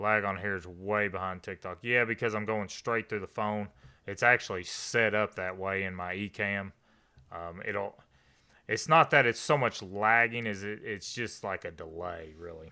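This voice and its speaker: With a Kentucky accent, a man speaks at a moderate pace and a fairly low pitch, his tone bright and sharp and his intonation fairly even, on a very clean recording with a silent background. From Eastern Kentucky. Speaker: live streamer. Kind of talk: live stream chat with viewers. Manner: casual, conversational.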